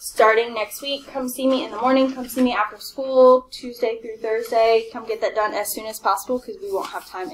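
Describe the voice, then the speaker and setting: Over light background noise, a woman speaks at a moderate pace. Her high voice shows ordinary pitch variation. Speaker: math teacher. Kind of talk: classroom announcements to students. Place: classroom.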